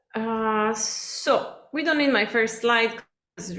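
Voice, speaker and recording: With an Italian accent and a fairly high pitch, a woman speaks amid audible room echo. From Italy. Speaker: cookbook author. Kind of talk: lecture. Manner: many fillers (um, uh).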